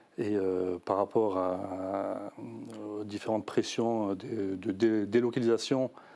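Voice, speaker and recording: A man speaks very slowly in a fairly low, dark and mellow voice. His intonation stays flat and monotone on a very clean recording with a silent background. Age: 40s. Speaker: election candidate and union representative. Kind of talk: interview. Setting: studio. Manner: halting, many fillers and repetitions.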